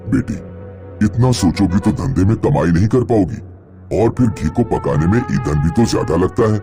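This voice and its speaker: Against clear music in the background, a man performs a cartoonish character voice at a moderate pace. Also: fairly low pitch for a man. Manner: fatherly, advising.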